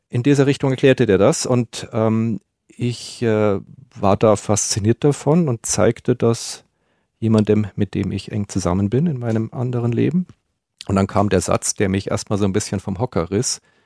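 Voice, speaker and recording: Recorded very cleanly against silence, a man with a dark, mellow tone and medium pitch speaks at a moderate pace with ordinary pitch variation, the sound dry and close with no echo. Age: 40s. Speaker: male escort. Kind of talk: interview. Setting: studio.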